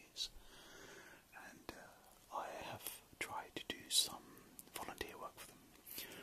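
Whispered speech from a man at a moderate pace. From British. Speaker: ASMR creator. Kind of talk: ASMR late-night ramble. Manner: soft-spoken. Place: home room. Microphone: phone near.

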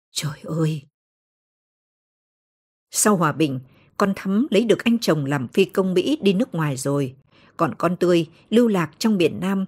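On a very clean recording with a silent background, a woman with a somewhat breathy, fairly low voice speaks at a fairly slow pace with lively intonation. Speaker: audiobook narrator. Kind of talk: audiobook novel reading.

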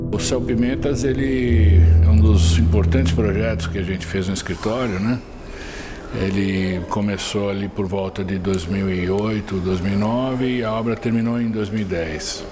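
A man's very deep, low voice over music in the background. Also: ordinary pitch variation. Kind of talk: interview answer. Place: studio. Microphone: lapel.

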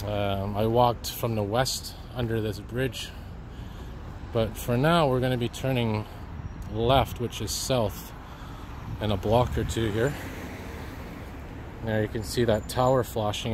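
A man talks at a moderate pace with ordinary pitch variation and long, frequent pauses, in a dry sound with no echo and with noticeable background noise. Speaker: walking video host. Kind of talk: casual vlog narration. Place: street. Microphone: phone near.

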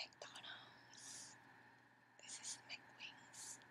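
Whispering, a woman goes at a very slow pace. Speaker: ASMR creator. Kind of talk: ASMR eating video with whispering. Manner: whispered, soft.

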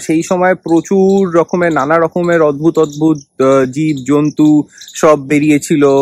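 The sound is dry, with no echo. The intonation stays fairly even. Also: man. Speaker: travel vlogger. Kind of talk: casual vlog chat. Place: garden. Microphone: phone near.

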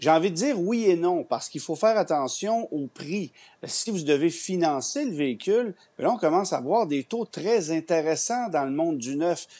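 This man's voice sits high in pitch yet has a dark, mellow tone. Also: lively intonation, moderate pace. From Quebec. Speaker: automotive journalist. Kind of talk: news interview. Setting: TV studio. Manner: halting. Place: home room. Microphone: earbuds.

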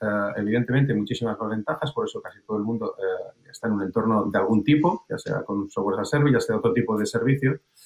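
At a very fast pace with hardly any pauses, a man speaks in a medium, somewhat breathy voice with ordinary pitch variation. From Spain. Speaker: sales director. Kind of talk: panel discussion. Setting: video call. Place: home room. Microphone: video call.

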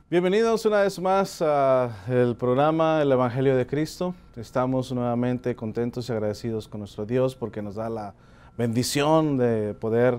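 A man's intonation is lively, and his pace is fairly slow. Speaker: preacher. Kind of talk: sermon. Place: studio. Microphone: lapel.

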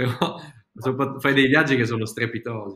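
Bright and sharp in tone, a man talks with ordinary pitch variation against a quiet background, with audible room echo. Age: 30s. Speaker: video-making teacher and channel host; video-making teacher, channel host. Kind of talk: casual interview chat. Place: home room.

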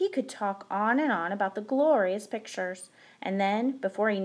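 The passage is read aloud plainly, the pitch shifting in an ordinary way.

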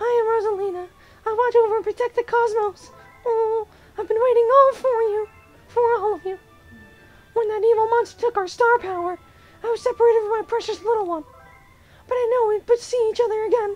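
A female-sounding put-on character voice at an extremely high pitch and a fairly quick pace, with long, frequent pauses and faint music in the background. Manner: gentle, motherly.

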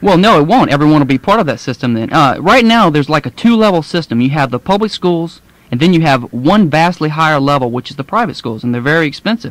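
Over a dry, close sound with no echo, a man with a Louisiana accent speaks very fast at a fairly high pitch, with lively intonation and hardly any pauses. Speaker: law student. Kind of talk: radio interview answer. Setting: AM radio studio.

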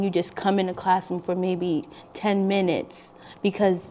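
The voice belongs to a woman. Some light noise sits in the background. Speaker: guest. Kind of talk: interview answer. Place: studio.

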